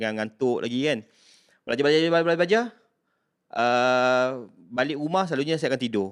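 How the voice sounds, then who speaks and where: A man at a medium pitch speaks at a fairly quick pace with ordinary pitch variation and long, frequent pauses, on a very clean recording with a silent background. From Malaysia, Kuala Kangsar, Perak. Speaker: university staff member. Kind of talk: casual interview, personal story.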